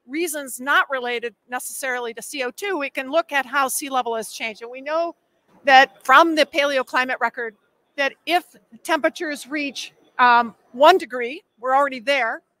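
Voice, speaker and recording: A woman's raised, projected voice, bright and sharp in tone, with big swings in loudness and a dry sound with no echo. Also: ordinary pitch variation, moderate pace. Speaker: presenter. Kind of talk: lecture. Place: hall. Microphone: podium.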